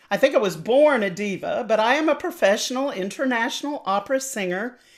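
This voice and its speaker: A woman with a North Carolina accent. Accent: Southern US (North Carolina). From US South. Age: 60s. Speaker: opera singer and voice teacher. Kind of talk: interview. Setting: podcast interview.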